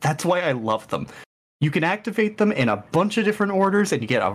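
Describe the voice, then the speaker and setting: A man at a fairly quick pace, with vocal fry and very wide pitch swings. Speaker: podcast co-host. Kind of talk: casual chat.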